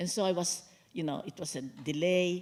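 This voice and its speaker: Fairly low-pitched woman at a moderate pace. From Philippines. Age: 80s+. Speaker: author and lawyer. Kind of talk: onstage book talk interview. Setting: stage with audience.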